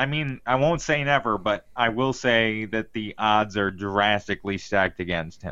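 A plain, everyday voice from a man, fairly low-pitched, at a moderate pace with hardly any pauses and ordinary pitch variation. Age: 30s. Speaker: podcast co-host. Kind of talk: casual chat.

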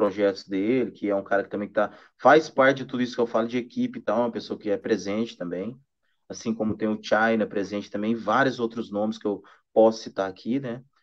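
A man in a plain, everyday voice, medium pitch, fairly quick pace, and fairly even intonation, with a quiet background. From Minas Gerais, Brazil. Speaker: singer-songwriter and guitarist. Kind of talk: casual interview chat. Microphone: weak connection.

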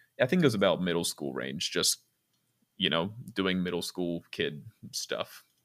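A man's very deep, low voice with vocal fry and an American accent. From Virginia, US. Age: 20s. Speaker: podcast guest, dinner show performer. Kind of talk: casual chat.

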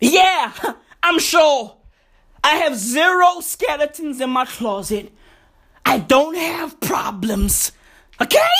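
A man speaks at a very slow pace with long, frequent pauses, his extremely high-pitched voice raised and projected, bright and sharp in tone, with lively intonation. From South Africa. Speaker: comedy podcast host. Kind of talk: comedic monologue. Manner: animated.

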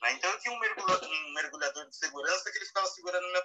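A man speaks with a São Paulo accent. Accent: Brazilian Portuguese, São Paulo (paulistano). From Brazil, São Paulo city. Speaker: wildlife and underwater photographer. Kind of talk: casual live interview. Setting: live audio room (Clubhouse), remote.

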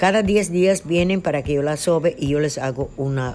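A woman with a dark, mellow tone and fairly low pitch speaks at a moderate pace with ordinary pitch variation. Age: 70s. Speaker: traditional midwife and healer. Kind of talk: interview.

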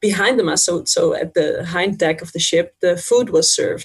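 A woman with a Dutch accent at a moderate pace. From Netherlands, Friesland. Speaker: language teacher. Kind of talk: interview.

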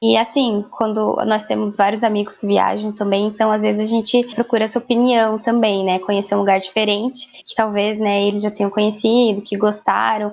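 Here a woman with a fairly high voice talks at a moderate pace, hardly pausing. Her intonation stays monotone and flat. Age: 20s. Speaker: pedagogy student. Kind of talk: casual interview. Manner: halting.

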